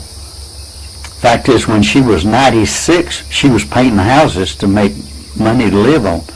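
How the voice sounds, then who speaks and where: Someone with an American accent talks at a fairly slow pace, with audible room echo and noticeable background noise. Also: man. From Florida. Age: 80s+. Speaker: pastor. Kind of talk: casual interview. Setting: at home. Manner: halting, repetitive.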